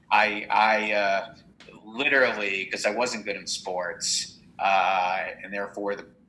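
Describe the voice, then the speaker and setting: A man with an American accent speaks in a fairly low pitch with monotone, flat intonation. Noticeable background noise is present. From New Jersey. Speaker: entrepreneur and business adviser. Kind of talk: casual interview.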